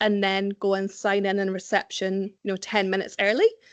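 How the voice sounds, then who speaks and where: In a Scottish accent, a woman talks at a fairly quick pace against a quiet background. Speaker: recruitment specialist. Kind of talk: presentation. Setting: event with live and online audience.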